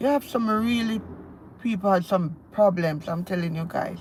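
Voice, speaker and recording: A woman speaks in a Jamaican accent with ordinary pitch variation. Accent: Jamaican, still speaks a lot of patois. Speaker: lifestyle vlogger. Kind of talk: casual live-stream chat. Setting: in a car, driving. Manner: animated.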